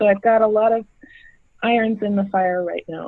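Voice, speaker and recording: A woman's fairly high voice with ordinary pitch variation, at a moderate pace. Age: 60s. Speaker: event producer. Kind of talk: casual chat.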